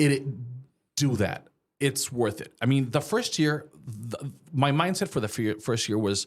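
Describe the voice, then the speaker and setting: The speaker goes at a fairly slow pace with long, frequent pauses and lively intonation. It is a very clean recording with a silent background. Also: man, medium pitch for a man. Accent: slight Mexican. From Mexico. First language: Spanish. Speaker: small business owner. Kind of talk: casual interview chat.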